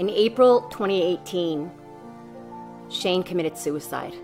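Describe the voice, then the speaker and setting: Music runs in the background. Against it, a woman keeps a moderate pace. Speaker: bereaved mother, anti-bullying advocate. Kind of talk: introduction to camera.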